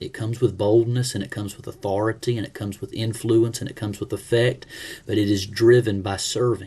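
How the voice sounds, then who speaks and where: A somewhat breathy, dark, mellow tone at a fairly quick pace, with monotone, flat intonation and big swings in loudness. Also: man, medium pitch for a man. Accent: Alabama. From US South, Alabama (Leeds, near Birmingham). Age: 40s. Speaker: pastor. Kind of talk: self-introduction for a class.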